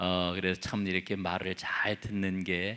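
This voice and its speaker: A man speaks at a very slow pace. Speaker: pastor. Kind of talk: bible study sermon.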